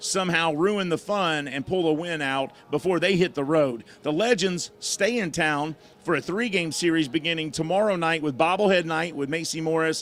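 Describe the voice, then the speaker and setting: Loud and at a moderate pace, a man speaks in a high pitch with ordinary pitch variation. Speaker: baseball play-by-play broadcaster. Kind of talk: live sports broadcast chat. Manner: casual, joking.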